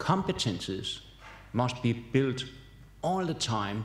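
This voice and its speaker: Audible room echo surrounds a man speaking very slowly. His medium-pitched voice is somewhat breathy. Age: 70s. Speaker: professor. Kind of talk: keynote lecture. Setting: conference hall with audience.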